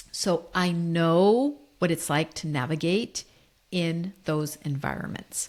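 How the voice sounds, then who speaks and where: Speaking very slowly with an American accent, a woman uses a fairly low pitch and ordinary pitch variation. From United States. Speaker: leadership coach. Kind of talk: solo podcast monologue.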